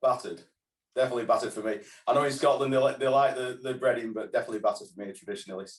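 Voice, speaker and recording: A man speaks very fast with a northern English accent. His loudness swings widely. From northern England. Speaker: fish and chip shop owner and trade body president. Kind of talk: interview. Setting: video call.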